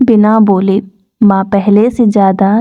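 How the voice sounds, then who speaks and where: The speaker is female. She talks at a fairly high pitch. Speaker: audiobook narrator. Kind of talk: sleep story. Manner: soft-spoken, slow.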